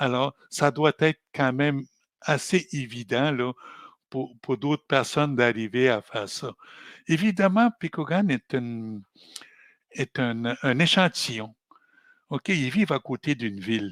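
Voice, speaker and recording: In a very clean recording with a silent background and a dry, close sound with no echo, a man speaks at medium pitch and a very slow pace, with lively intonation and long, frequent pauses. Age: 70s. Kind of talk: podcast interview. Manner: halting, with repetitions.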